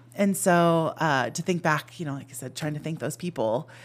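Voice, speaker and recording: A woman with an American accent speaks at a moderate pace in a very deep, low pitch, with ordinary pitch variation. The recording is very clean, with a silent background. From Arizona (Phoenix), then San Jose, California. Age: 50s. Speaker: teacher, former vice principal. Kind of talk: casual chat.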